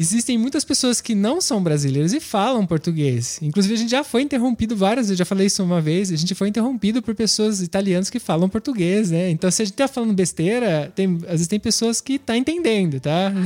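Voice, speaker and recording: A man's high-pitched voice, dark, mellow tone, lively intonation, very even loudness, very fast pace and hardly any pauses, in a dry, close sound with no echo. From Brazil. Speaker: podcast co-host. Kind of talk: casual chat.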